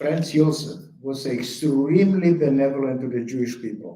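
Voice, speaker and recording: A man's fairly high-pitched, dark, mellow voice at a fairly slow pace, with ordinary pitch variation and audible room echo. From Bukovina, Romania (Chernivtsi). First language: German. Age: 80s+. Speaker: Holocaust survivor speaker. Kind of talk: testimony.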